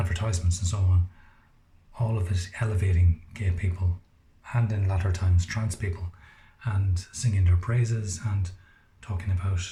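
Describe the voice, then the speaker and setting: A man with an Irish accent speaks quietly at a moderate pace, his very deep, low voice dark, mellow and somewhat breathy. His intonation is flat and monotone, broken by long, frequent pauses. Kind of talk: casual monologue to camera. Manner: quiet, low voice.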